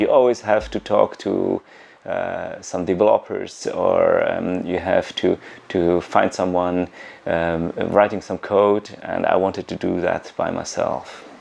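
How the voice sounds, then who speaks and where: A man at a fairly slow pace against noticeable background noise. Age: 40s. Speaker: coding bootcamp student, former radio executive. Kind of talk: documentary interview.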